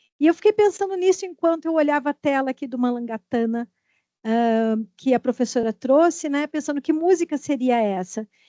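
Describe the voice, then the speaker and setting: In a dry, close sound with no echo, a woman speaks at a moderate pace with a high pitch, a dark, mellow tone and ordinary pitch variation. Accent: southern Brazilian. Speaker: audience member, literature researcher. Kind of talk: academic Q&A question. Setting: academic seminar panel.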